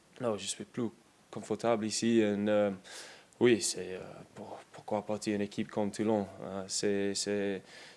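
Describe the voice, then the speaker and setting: A man with an English accent speaks at a fairly slow pace and fairly low pitch, in a monotone, flat intonation with big swings in loudness and long, frequent pauses. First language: English (speaking French). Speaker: professional rugby player. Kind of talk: press conference. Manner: halting, many hesitations and repetitions.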